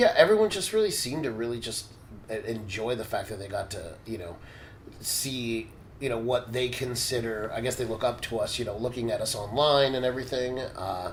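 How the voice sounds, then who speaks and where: A man talks at a medium pitch while noticeable background noise carries on behind him. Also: ordinary pitch variation, fairly quick pace. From United States, Cuban-American family. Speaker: professional body piercer and instructor. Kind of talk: casual podcast conversation. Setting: in-person recording in Brazil.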